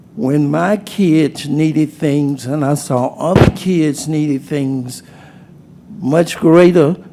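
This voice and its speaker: A man with an American accent, fairly high in pitch, with ordinary pitch variation and a very slow pace over noticeable background noise. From Portsmouth, Virginia. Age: 70s. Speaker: city council member. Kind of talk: council meeting debate.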